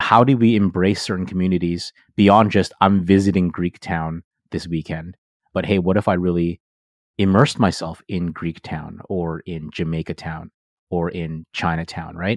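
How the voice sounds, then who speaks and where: Speaking at a moderate pace with fairly even intonation, a man with a Canadian accent has a very deep, low pitch in a dry, close sound with no echo. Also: very clean recording, silent background. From Toronto, Canada. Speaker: pastor and intercultural ministry director. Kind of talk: interview.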